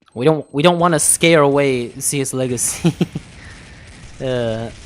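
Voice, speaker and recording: A man with a non-native accent, fairly high in pitch, at a fairly slow pace with ordinary pitch variation. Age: 20s. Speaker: gaming streamer. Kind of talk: live stream chat. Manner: animated.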